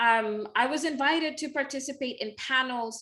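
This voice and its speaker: Bright and sharp in tone, a woman with a Spanish accent talks fairly slowly with ordinary pitch variation. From Mexico. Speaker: literature scholar. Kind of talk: interview conversation.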